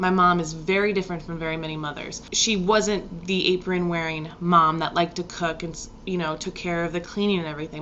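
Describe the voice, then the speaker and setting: The speech comes at a fairly quick pace in a monotone, flat intonation against noticeable background noise. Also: woman. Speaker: astrologer. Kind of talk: casual vlog talk about astrology. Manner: casual, rambling delivery.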